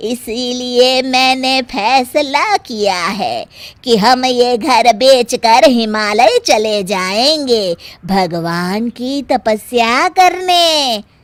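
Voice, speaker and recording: A woman uses a cartoonish character voice with a high pitch and lively intonation. She talks at a very slow pace. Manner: scolding, blunt.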